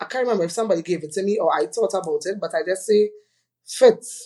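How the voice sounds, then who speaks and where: Lively intonation marks this woman's speech in a Trinidadian accent. She talks at a fairly quick pace and a medium pitch. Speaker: fashion retail entrepreneur. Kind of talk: podcast interview. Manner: loud.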